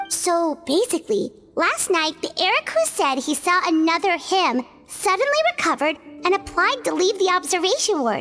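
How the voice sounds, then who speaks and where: Over clear background music, a woman performs a put-on character voice at an extremely high pitch and a moderate pace. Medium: machinima. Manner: gentle, soft-spoken.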